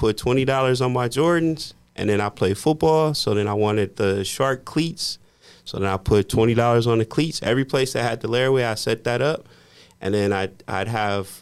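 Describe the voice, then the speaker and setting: On a very clean recording with a silent background, a man speaks at medium pitch and a moderate pace in an unremarkable speaking voice with ordinary pitch variation. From US Midwest, Indiana. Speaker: podcast host and mortgage professional. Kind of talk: casual chat.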